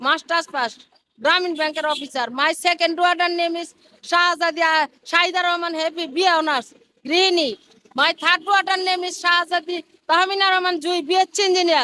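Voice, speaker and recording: Her raised, projected voice sits extremely high in pitch for a woman, with a bright, sharp tone and fairly even intonation. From Bangladesh, Dhaka district. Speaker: street dweller. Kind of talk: street interview. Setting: outdoors by a busy road.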